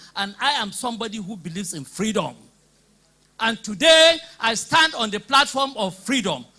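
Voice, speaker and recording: In a raised, projected voice with a Nigerian accent, a man speaks at a moderate pace with very wide pitch swings. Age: 60s. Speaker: political party member. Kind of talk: public debate speech. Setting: hall with live audience.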